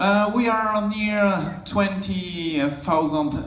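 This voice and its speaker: Spoken with a French accent, the clip carries audible room echo and noticeable background noise. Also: man. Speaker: network architect. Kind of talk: conference presentation. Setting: stage with audience. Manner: halting.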